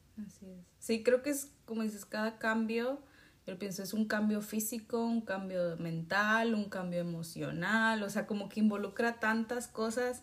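At a fairly slow pace, a woman speaks in a fairly high, somewhat breathy voice, with fairly even intonation and big swings in loudness. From Mexico. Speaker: podcast host. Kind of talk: interview.

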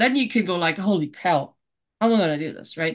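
This woman speaks with a German accent. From Germany. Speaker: author and life coach. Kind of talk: interview, casual chat. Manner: animated.

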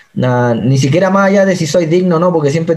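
This man has a dark, mellow tone and a fairly high pitch. He speaks with a Chilean accent. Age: 20s. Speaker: missionary. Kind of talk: testimony.

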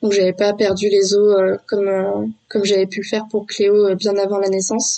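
A woman at medium pitch, moderate pace and monotone, flat intonation. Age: 20s. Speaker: stay-at-home mother sharing birth story. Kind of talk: testimony. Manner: halting, many hesitations.

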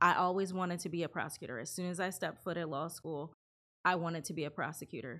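A woman's fairly low-pitched voice with an American accent, bright, sharp tone, very fast pace and fairly even intonation. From California and Ohio. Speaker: lawyer. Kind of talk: interview.

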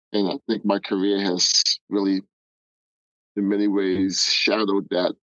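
A man with a New York accent talks at a moderate pace. His fairly low voice stays monotone and flat. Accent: New York American. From Nigeria, raised in the Bronx, New York. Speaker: guest, sports data professional. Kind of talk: casual interview conversation.

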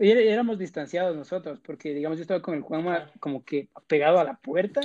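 A man with a plain, everyday voice talks at a moderate pace, his fairly high pitch showing ordinary variation. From Ecuador. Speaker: podcast host. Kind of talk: casual chat.

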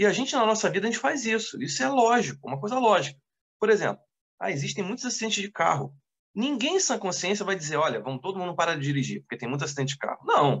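A man with a high pitch races along at a very fast pace, his voice making very wide pitch swings. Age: 30s. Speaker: deacon and seminary teacher. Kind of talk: casual chat. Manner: halting.

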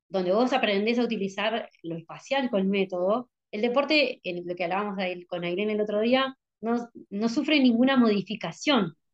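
At a moderate pace, a woman with an ordinary speaking voice talks in a fairly high pitch with ordinary pitch variation. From Buenos Aires province, Argentina. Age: 40s. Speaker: visually impaired skater. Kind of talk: interview conversation. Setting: video call.

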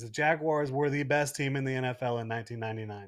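This man talks at a fairly quick pace with ordinary pitch variation and a normal speaking voice. The recording is very clean, with a silent background. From Jacksonville, Florida. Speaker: sports blogger. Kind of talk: casual chat. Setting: studio.

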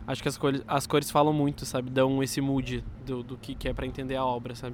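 This man speaks with monotone, flat intonation. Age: 20s. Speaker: designer. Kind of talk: street interview.

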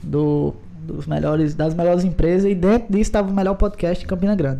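With ordinary pitch variation, the man's speech proceeds at a moderate pace. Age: 20s. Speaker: podcast host, guest. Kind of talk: casual chat.

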